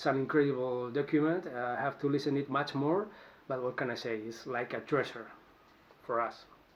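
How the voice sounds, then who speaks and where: A man with a Spanish accent at medium pitch, fairly quick pace and ordinary pitch variation. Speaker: musician. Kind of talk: answering interview questions to camera. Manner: halting, with false starts.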